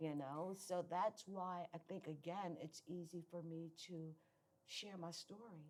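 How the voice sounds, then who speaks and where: Using an ordinary speaking voice, a woman talks at a fairly slow pace with fairly even intonation and a fairly low pitch. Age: 60s. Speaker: guest sharing recovery testimony. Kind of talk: testimony.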